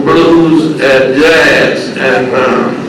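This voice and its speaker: A man with an American accent speaks in a fairly high voice with fairly even intonation. There is audible room echo and noticeable background noise. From southern West Virginia coal fields, Wyoming County. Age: 80s+. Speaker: blues musician and former coal miner. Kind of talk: interview.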